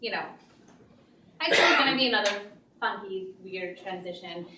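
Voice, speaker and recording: A woman with an American accent, with audible room echo and noticeable background noise. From Pakistan, then Texas and Connecticut. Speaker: open mic storyteller. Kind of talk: storytelling performance. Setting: stage with audience. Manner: casual, with many fillers.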